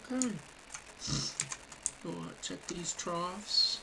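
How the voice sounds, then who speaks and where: Over noticeable background noise, someone with an American accent speaks very slowly in a relaxed tone. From Ohio, with Kentucky family. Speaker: gaming streamer. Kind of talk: live gameplay commentary. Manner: relaxed, casual.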